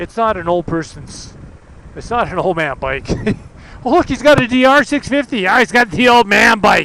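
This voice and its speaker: In a raised, projected voice, a man with an extremely high pitch and very wide pitch swings talks at a moderate pace. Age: 60s. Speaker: motorcycle vlogger. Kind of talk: casual vlog monologue while riding.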